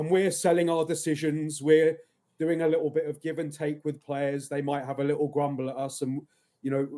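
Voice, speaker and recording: In a flat monotone, a man speaks with a dark, mellow tone. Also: fairly high pitch for a man, fairly quick pace. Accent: English. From England. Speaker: football referee. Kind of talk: casual chat.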